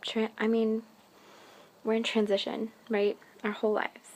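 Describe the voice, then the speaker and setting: The woman has an American accent and a fairly high pitch. Her intonation is monotone and flat. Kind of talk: casual talk to camera. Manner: stuttering, hesitant.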